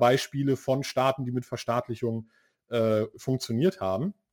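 A man talks in a dark, mellow tone. His pace is moderate and his intonation fairly even. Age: 30s. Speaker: podcast host. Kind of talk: interview.

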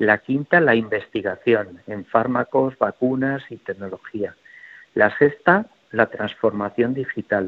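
The man's pace is very slow, with big swings in loudness. His pitch sits at a medium level with ordinary variation. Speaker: health executive. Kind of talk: radio interview.

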